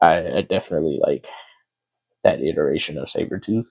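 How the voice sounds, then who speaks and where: A man talks quietly. His pace is moderate. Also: dry, close sound with no echo. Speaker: artist drawing while talking. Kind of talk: casual talk while drawing. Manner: halting.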